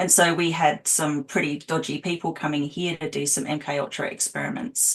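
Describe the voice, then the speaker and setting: The speaker has an Australian accent and a fairly quick pace. Pitch variation is ordinary. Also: woman. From Australia, Adelaide. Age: 40s. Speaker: abuse survivor and healer. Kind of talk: interview testimony.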